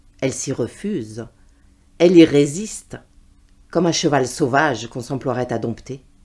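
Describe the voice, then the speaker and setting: With lively intonation and a dark, mellow tone, a woman speaks in a very deep, low voice at a moderate pace, leaving long, frequent pauses. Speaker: voice reader. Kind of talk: literary prose reading.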